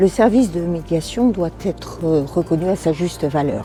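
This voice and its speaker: A woman talks at a moderate pace with a fairly low pitch. Music plays in the background. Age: 70s. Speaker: retired social worker, election candidate. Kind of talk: campaign video statement. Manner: slightly hesitant, with fillers.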